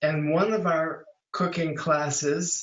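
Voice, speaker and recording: The voice is somewhat breathy, speaking at a fairly slow pace with fairly even intonation. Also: man. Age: 80s+. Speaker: vegan cooking teacher and magazine co-producer. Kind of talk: casual interview.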